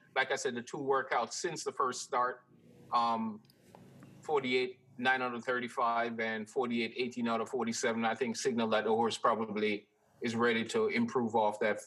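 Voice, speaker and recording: An ordinary speaking voice, its intonation fairly even. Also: man. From New York, born in Jamaica. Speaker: handicapper. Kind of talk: race analysis.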